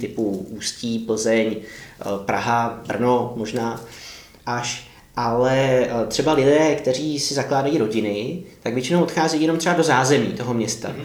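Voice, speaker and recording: Audible room echo surrounds the man as he talks. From Czechia, Karlovy Vary. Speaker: urban geographer. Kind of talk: interview.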